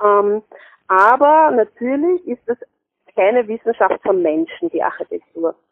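The speech moves fairly slowly. Its pitch swings very widely. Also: woman, high pitch for a woman. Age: 30s. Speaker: health promotion consultant. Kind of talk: interview. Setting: phone call. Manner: hesitant, many fillers. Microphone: poor telephone sound quality.

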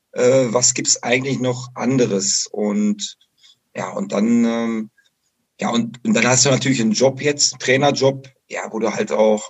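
A man with a plain, everyday voice speaks at a moderate pace, medium in pitch with ordinary pitch variation. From western Germany, Bocholt (Dutch border). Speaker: football coach. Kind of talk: interview.

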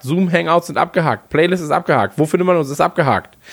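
A man talks in a high pitch. The background is silent and the recording very clean. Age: 30s. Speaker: football fan podcast co-host. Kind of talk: casual chat.

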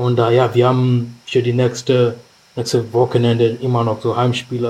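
A man of medium pitch speaks in a somewhat breathy voice at a moderate pace. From Kenya, Nairobi. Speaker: rugby player. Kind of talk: casual chat.

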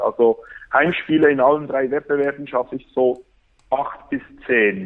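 A man with a Bernese accent, fairly high pitch, fairly even intonation and a fairly slow pace. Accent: Swiss German (Bernese). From Switzerland, Bern. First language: Swiss German (Bernese dialect) (speaking German). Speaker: football fan, fan social worker. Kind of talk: casual chat.

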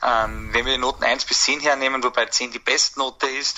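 A man talking at a fairly quick pace against noticeable background noise. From Austria, Baden district. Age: 20s. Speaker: football fan community moderator. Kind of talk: pre-recorded statement.

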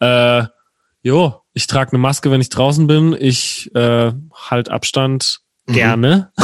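This is a man with an ordinary speaking voice. His pitch is medium and his intonation fairly even. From Palatinate, southwest Germany (Herxheim near Landau). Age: 20s. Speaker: singer-songwriter. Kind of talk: casual chat.

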